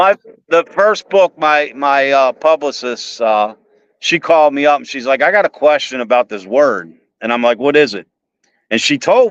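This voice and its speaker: With a Baltimore accent, a man speaks at a moderate pace and a fairly high pitch, his lively intonation captured in a dry, close sound with no echo. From Baltimore, Maryland, US. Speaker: author. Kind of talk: casual chat.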